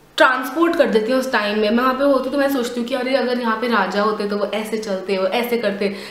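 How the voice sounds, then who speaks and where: Ordinary pitch variation comes through audible room echo and noticeable background noise. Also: woman. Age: 20s. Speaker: vlogger. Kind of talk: casual vlog.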